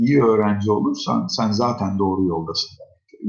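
A man's unremarkable speaking voice, fairly low in pitch, at a fairly slow pace. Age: 40s. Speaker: educator and author. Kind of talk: interview. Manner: conversational.

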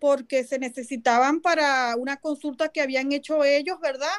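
Speaking at a moderate pace with a Venezuelan accent, a woman has a high pitch and fairly even intonation. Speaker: activist and movement coordinator. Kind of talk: interview.

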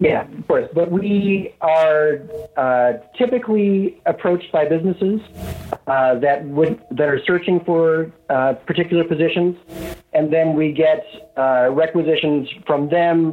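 The speech comes at a fairly slow pace with ordinary pitch variation. Noticeable background noise can be heard. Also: man, fairly high pitch for a man. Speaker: recruiter. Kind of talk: casual interview.

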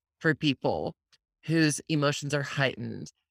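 An enthusiastic voice at a fairly slow pace, recorded very cleanly against a silent background with a dry, close sound and no echo. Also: woman. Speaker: podcast host. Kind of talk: interview.

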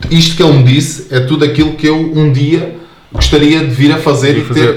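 Noticeable background noise sits behind a man speaking at a fairly quick pace. His pitch is fairly high, and his intonation is monotone and flat. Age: 20s. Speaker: soldier. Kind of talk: casual chat.

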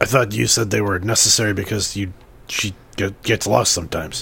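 A man's raspy, put-on character voice, fairly low in pitch and fairly quick in pace. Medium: actual play. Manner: hesitant, halting, full of fillers.

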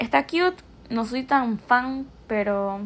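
Animated in tone, a woman talks at a fairly high pitch with lively intonation. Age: young. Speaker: podcast host. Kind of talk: casual monologue.

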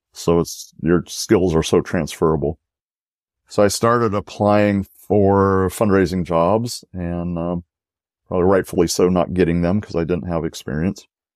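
A man's calm, very deep, low voice at a moderate pace with fairly even intonation, dry and close with no echo, in a very clean recording with a silent background. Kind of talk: interview.

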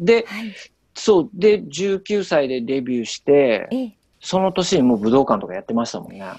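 At a moderate pace, a man with a fairly high pitch and a dark, mellow tone makes very wide pitch swings and big swings in loudness. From Hokkaido, Sapporo. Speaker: singer and vocal coach. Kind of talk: casual radio interview.

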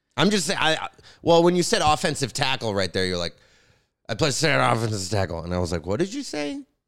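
A very fast man at medium pitch, with very wide pitch swings and vocal fry. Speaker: podcast co-host, comedian. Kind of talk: casual banter.

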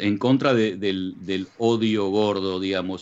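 Very slowly, a man talks in a fairly low voice. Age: 40s. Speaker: radio co-host. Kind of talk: casual chat.

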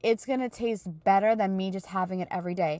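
In a very clean recording with a silent background, a woman talks at a fairly quick pace. She has an unremarkable speaking voice, medium in pitch with ordinary variation. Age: 30s. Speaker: podcast host and small business owner. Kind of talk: casual solo talk. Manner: conversational with many fillers.

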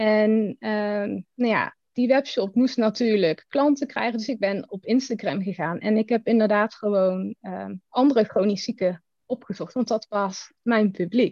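A fairly high-pitched woman's voice with a dark, mellow tone and ordinary pitch variation, fairly slow in pace, dry and close without echo. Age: 30s. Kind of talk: casual chat.

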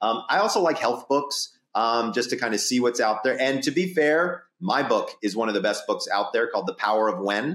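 In a very clean recording with a silent background, a man with an American accent talks at a moderate pace with hardly any pauses and very even loudness. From US South. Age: 50s. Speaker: sleep doctor and psychologist. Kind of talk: casual interview.

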